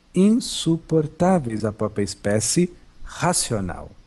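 A somewhat breathy man with a dark, mellow tone and lively intonation, in a very clean recording with a silent background. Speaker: spiritual teacher / channeled monk. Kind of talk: spiritual talk. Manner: calm.

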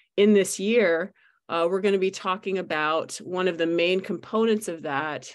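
A woman with an unremarkable speaking voice talks at a fairly low pitch with ordinary pitch variation against a quiet background. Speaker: community meeting host. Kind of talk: meeting presentation. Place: home room. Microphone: video call.

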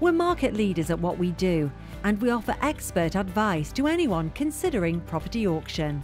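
Over music in the background, a woman at a medium pitch speaks at a moderate pace with very wide pitch swings and very even loudness. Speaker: narrator of a corporate promo video. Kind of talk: corporate narration, promotional voiceover.

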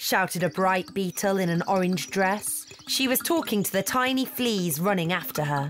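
What we hear is someone reading aloud in a natural voice.

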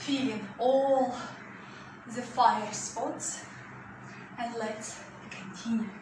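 Intonation stays fairly even, with light background noise and audible room echo. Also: woman. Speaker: fitness instructor. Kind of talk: workout class instruction. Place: home room. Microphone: camera far.

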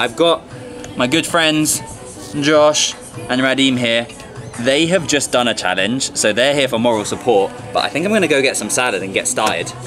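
A man's lively intonation over music in the background. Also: moderate pace. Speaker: food challenge vlogger. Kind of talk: casual vlog chat. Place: cafe. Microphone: camera far.

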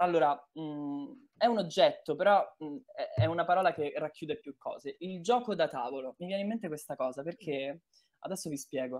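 A man speaks high for his sex, with lively intonation. His loudness swings widely at a moderate pace. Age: 20s. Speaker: voice actor. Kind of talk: casual chat.

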